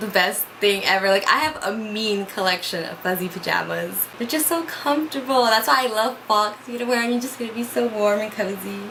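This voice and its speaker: Against noticeable background noise and audible room echo, a woman talks at a fairly quick pace with hardly any pauses, her fairly high pitch showing ordinary variation. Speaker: vlogger. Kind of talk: casual chat. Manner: loud.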